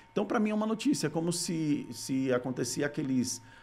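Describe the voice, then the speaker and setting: With faint music in the background, a man speaks with ordinary pitch variation. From Brazil, Rio Grande do Norte (Natal); Rio Grande do Norte, Brazil. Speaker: content creator, former TV journalist. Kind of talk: casual interview. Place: studio. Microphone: studio mic.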